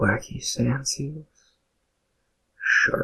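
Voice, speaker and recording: A man whispers in a soft-spoken way. His pace is very slow. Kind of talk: ASMR whisper narration of game facts. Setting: binaural microphone recording. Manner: whispered, soft-spoken, relaxing.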